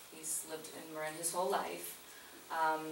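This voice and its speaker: Speaking at a moderate pace with a very deep, low pitch, a woman is heard amid noticeable background noise and audible room echo. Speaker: naturopathic doctor presenting a business proposal. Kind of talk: community meeting presentation. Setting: community meeting room with audience. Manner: soft-spoken; hesitant, many fillers. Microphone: too quiet for audience.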